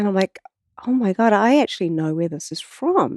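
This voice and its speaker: With a strong New Zealand accent, a woman speaks in a dark, mellow tone with ordinary pitch variation, the sound dry and close with no echo and the background quiet. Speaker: water researcher and artist. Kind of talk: casual interview conversation. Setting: in person studio.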